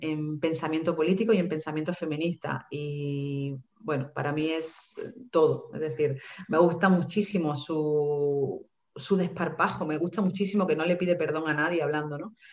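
A woman's very deep, low voice in a monotone, flat delivery. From Seville, Andalusia, Spain. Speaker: writer and feminist coach. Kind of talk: online panel interview.

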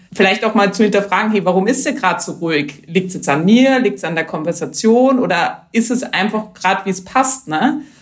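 Somewhat breathy, a woman's fairly high voice shows ordinary pitch variation. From Austria, Vienna region. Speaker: entrepreneur, HR manager. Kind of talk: interview.

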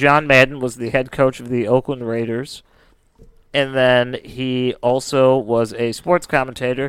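A man talks fairly slowly at a medium pitch. His intonation is monotone and flat. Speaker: podcast co-host. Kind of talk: casual podcast chat retelling a case. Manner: casual, laughs often.

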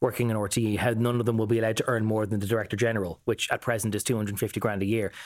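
A man's fairly low voice, monotone and flat, at a very fast pace with hardly any pauses, on a very clean recording with a silent background. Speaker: political correspondent. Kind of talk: casual news discussion.

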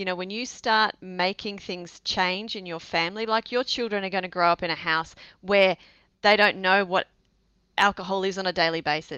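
With an Australian accent, a woman speaks at a moderate pace in a medium pitch with fairly even intonation. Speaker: sobriety coach. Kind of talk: casual interview chat.

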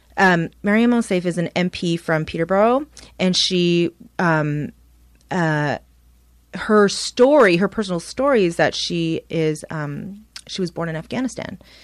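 A woman with a Canadian accent speaks at a fairly slow pace in an unremarkable speaking voice, her intonation lively. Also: fairly low pitch for a woman, very clean recording, silent background. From Toronto, Canada (Scarborough). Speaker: journalist and podcast co-host. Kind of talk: casual chat.

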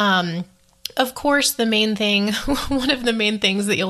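Her tone is bright, sharp and enthusiastic. This woman uses ordinary pitch variation. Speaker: travel podcaster. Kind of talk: solo podcast monologue, casual. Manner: chatty, enthusiastic.

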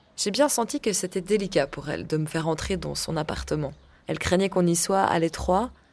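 At a fairly quick pace, a woman of medium pitch speaks with lively intonation and vocal fry. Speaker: podcast host and journalist. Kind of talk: scripted narration.

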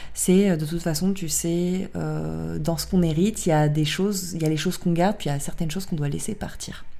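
A woman's fairly quick speech with hardly any pauses, in audible room echo. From southern France, Draguignan area. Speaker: podcast host. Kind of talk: casual chat.

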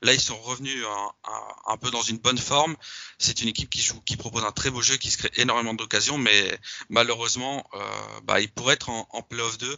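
This man has an ordinary speaking voice, pitched in the medium range, moving at a fairly quick pace with fairly even intonation. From Belgium. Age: 20s. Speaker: football social media account manager, student. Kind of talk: casual interview.

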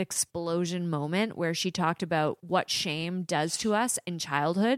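Recorded dry and close with no echo, very clean, with a silent background, a woman with an unremarkable speaking voice talks at a moderate pace and fairly low pitch with ordinary pitch variation. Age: 30s. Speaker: podcast co-host. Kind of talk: casual chat.

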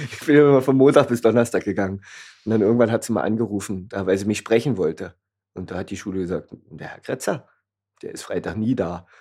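A man with a fairly low pitch and a dark, mellow tone at a very fast pace. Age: 30s. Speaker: café owner. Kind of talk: casual chat. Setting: in his café.

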